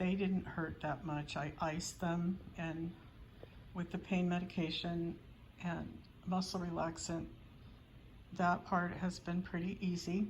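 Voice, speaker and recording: A woman speaks in a fairly low, somewhat breathy voice. Her intonation is monotone and flat, with long, frequent pauses. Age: 70s. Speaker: doll channel vlogger. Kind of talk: casual vlog update. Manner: hesitant with fillers.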